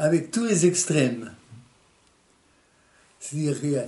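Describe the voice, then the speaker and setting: Man's fairly high, somewhat breathy voice with a dark, mellow tone at a fairly slow pace. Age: 80s+. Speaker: Resistance veteran and concentration camp survivor. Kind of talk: interview answer.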